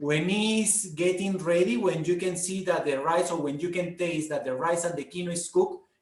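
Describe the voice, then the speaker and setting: In a Peruvian accent, with ordinary pitch variation, the voice comes through with audible room echo. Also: man. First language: Spanish. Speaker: food guide. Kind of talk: online talk, Q&A. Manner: halting with fillers.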